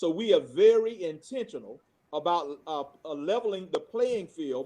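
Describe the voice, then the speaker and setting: A man speaks loudly. His pitch varies in an ordinary way. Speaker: pastor and school founder. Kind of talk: panel discussion.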